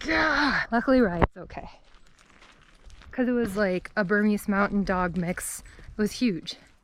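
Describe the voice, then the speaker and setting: Against noticeable background noise, a woman with a Wisconsin accent speaks fairly slowly at a medium pitch with ordinary pitch variation. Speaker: vlogger. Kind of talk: casual vlog narration. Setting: outdoors on a trail. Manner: casual, chatty.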